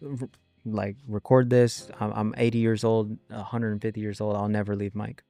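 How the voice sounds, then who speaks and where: Someone with an American accent talks at a fairly quick pace while music plays in the background. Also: man, fairly low pitch for a man. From US West, Central Valley California (Selma). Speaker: company CEO, sales entrepreneur. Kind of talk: podcast interview. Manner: animated.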